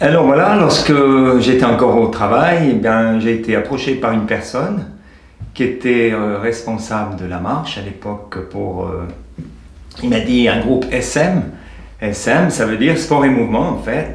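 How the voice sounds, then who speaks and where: A man at medium pitch with lively intonation, a fairly slow pace and long, frequent pauses, amid audible room echo. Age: 60s. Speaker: retired volunteer walking group leader. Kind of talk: interview testimony. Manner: halting.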